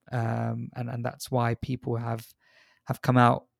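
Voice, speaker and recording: In a plain, everyday voice, a man speaks at a medium pitch and a fairly slow pace on a very clean recording with a silent background. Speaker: emergency doctor. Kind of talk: discussion.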